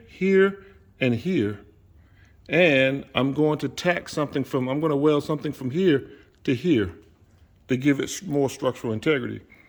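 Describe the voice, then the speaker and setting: A man with a fairly high pitch talks at a moderate pace with lively intonation and long, frequent pauses. The recording is very clean, with a silent background. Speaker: DIY car builder, video host. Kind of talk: workshop tutorial. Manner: casual, halting with self-corrections.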